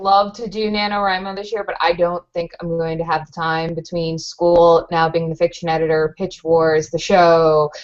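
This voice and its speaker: A woman at a moderate pace with a fairly low pitch, a monotone, flat intonation and hardly any pauses. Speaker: co-host of writing show. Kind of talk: casual chat.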